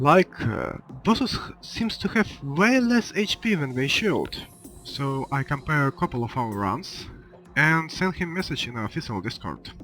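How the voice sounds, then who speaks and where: The voice swings very widely in pitch at a moderate pace. Music plays in the background. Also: man, fairly high pitch for a man. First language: not English. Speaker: gaming video creator. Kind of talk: casual narration.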